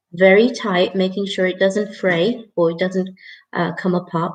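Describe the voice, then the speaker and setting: With a somewhat breathy quality, this voice moves along at a fairly slow pace. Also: woman. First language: not English. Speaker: craft tutor. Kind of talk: live tutorial. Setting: live stream. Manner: casual, chatty.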